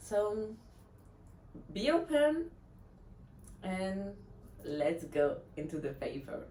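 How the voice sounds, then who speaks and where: A woman at a very slow pace, with very wide pitch swings, long, frequent pauses, audible room echo and noticeable background noise. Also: medium pitch for a woman. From France. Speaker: blogger. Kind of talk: reading aloud.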